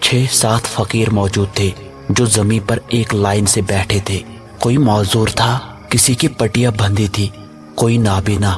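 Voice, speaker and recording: A man speaks at a fairly low pitch with fairly even intonation and very even loudness. Music plays in the background. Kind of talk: horror story narration.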